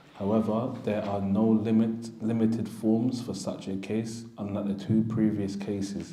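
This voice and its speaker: Flat, monotone intonation at a moderate pace over noticeable background noise. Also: man. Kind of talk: reading aloud from a text on inheritance law.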